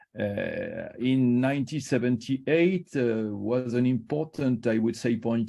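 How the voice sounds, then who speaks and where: A man speaks at a moderate pace with a French accent. His tone is dark and mellow, with ordinary pitch variation. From Morocco (French family, Casablanca). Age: 60s. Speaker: liver surgeon, professor. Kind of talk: invited talk on career. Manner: halting, many hesitations.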